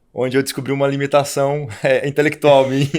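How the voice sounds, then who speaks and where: Speaking at a very fast pace, a man with a Curitiba accent uses a fairly high voice. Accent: Curitiba accent, noticeable. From Curitiba, Paraná, southern Brazil. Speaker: labor judge and economist. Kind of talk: podcast interview. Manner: halting, repeats words.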